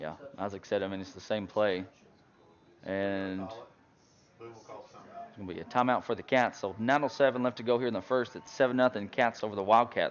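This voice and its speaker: A man's medium-pitched voice with an Arkansas accent, ordinary pitch variation and big swings in loudness, at a moderate pace with long, frequent pauses. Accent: US Southern (Arkansas). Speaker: high school football play-by-play announcer. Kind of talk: live commentary.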